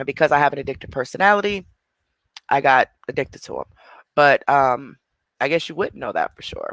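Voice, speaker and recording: An animated man speaks with big swings in loudness and long, frequent pauses, and the sound is dry and close with no echo. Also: fairly quick pace. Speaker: livestreamer in recovery. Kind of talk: livestream chat answering comments. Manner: fast.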